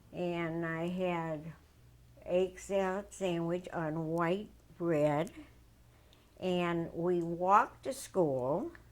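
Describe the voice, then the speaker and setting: A speaker with an American accent talks at a very slow pace, with fairly even intonation and long, frequent pauses. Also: woman, fairly low pitch for a woman. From US Midwest, St. Louis. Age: 80s+. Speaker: Holocaust testimony interviewee. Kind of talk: oral history interview. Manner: halting, self-correcting.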